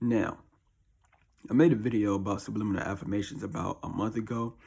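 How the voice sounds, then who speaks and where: Speaking at a very fast pace, a man has a fairly low, dark, mellow voice with ordinary pitch variation, heard on a very clean recording with a silent background. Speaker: YouTuber. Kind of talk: casual vlog talk. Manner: casual, rambling.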